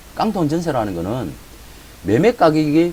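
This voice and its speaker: A man with a Gyeongsang accent speaks at a fairly high pitch. Noticeable background noise is present. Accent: Gyeongsang accent, trouble with some sounds. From Gyeongsang region, South Korea. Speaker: real estate auction educator. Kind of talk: lecture. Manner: casual, filler-heavy.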